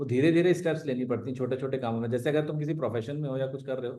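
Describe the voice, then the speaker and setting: A man talks in a plain, everyday voice at a medium pitch with ordinary pitch variation. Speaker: ex-army special forces member and mountaineer. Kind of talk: live online Q&A talk. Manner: casual, conversational.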